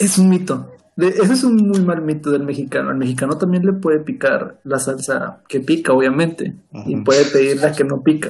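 Pitched fairly high, a man talks at a moderate pace with lively intonation and hardly any pauses. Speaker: podcast co-host. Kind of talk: casual chat. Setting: at home.

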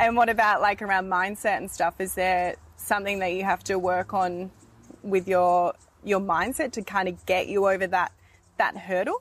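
Speaking in a plain, everyday voice, a woman keeps a medium pitch, a moderate pace and fairly even intonation. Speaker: podcast host. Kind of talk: interview. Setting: outdoors.

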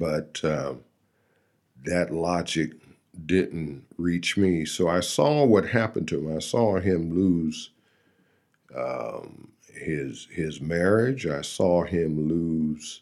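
A man speaks at a very deep, low pitch with ordinary pitch variation. His pace is very slow, with long, frequent pauses. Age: 60s. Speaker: AA speaker sharing recovery story. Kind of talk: testimony. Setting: studio.

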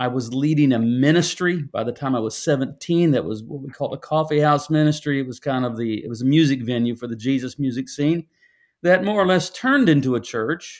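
A man with an American accent speaks at a fairly high pitch. His pace is fairly quick, and his pitch varies in an ordinary way. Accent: American with a twang. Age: 60s. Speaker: pastor and author.

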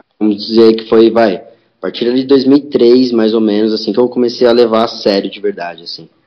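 Fairly even in intonation, an ordinary speaking voice proceeds at a moderate pace. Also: man, medium pitch for a man. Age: 30s. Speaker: skateboarder and skate teacher. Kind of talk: casual chat.

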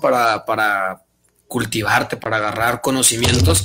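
A man with a bright, sharp tone and ordinary pitch variation. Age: young. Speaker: finance and business guest. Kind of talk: casual interview.

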